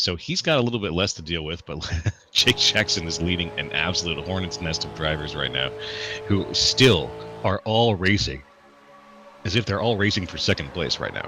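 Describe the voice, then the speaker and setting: Over music in the background, a man with a very deep, low pitch speaks at a moderate pace, his pitch swinging very widely. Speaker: sim racing commentator. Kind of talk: live commentary. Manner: animated.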